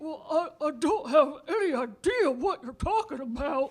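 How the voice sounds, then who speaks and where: Someone does a put-on character voice at a high pitch and a moderate pace. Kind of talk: radio play performance.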